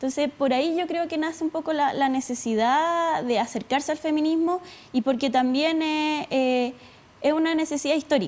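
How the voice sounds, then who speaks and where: Fairly even intonation in a Chilean accent, at a moderate pace. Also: woman, high pitch for a woman. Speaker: student leader. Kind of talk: TV interview. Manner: halting, many fillers.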